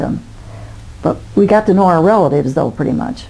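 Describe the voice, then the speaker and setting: A woman speaks very fast with an American accent. Noticeable background noise runs behind her. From Indiana, USA. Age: 80s+. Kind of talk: interview answer.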